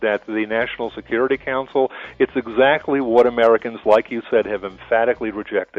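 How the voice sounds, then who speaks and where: With music in the background, a man talks at a fairly quick pace and medium pitch in a monotone, flat way. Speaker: radio guest, political commentator. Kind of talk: radio interview answer.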